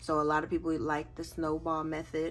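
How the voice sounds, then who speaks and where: Music in the background behind a woman talking at a fairly slow pace. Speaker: budgeting YouTuber. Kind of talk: casual tutorial.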